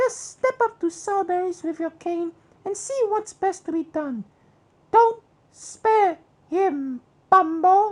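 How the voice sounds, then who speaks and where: A put-on character voice, squeaky and extremely high in pitch, moves at a fairly slow pace. Long, frequent pauses break it up. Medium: read story.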